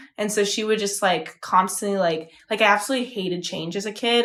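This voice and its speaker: Very fast speech from a woman at medium pitch, with ordinary pitch variation. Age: 20s. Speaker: podcast co-host. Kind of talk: casual chat.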